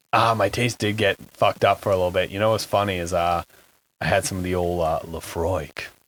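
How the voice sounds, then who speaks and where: A man speaks fairly quickly in a very deep, low pitch. His intonation is fairly even, and the recording is very clean with a silent background. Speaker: podcast guest. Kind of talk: casual chat.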